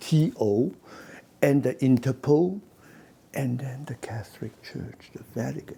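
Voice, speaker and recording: Lively intonation and vocal fry mark this man's dark, mellow tone. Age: 70s. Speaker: businessman. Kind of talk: interview. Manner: halting.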